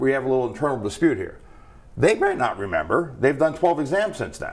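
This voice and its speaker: Very fast and animated, a man with a fairly high pitch, vocal fry and very wide pitch swings rattles through his words. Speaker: federal regulator, board member. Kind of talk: interview. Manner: conversational, animated.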